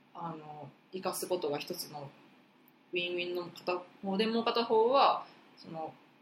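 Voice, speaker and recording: Amid noticeable background noise, the speech moves at a moderate pace with ordinary pitch variation, big swings in loudness, and long, frequent pauses. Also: woman, fairly low pitch for a woman. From Osaka. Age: 20s. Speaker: podcast co-host, university student. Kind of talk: casual chat.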